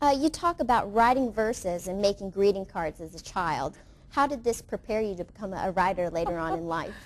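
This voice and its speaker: A woman with an unremarkable speaking voice talks at medium pitch and a fairly quick pace, with lively intonation and big swings in loudness. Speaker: TV program host. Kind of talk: TV interview host.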